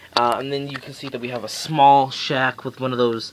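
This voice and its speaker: A man is speaking. Noticeable background noise runs beneath him. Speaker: model railroad hobbyist. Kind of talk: casual video tour. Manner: fast; halting.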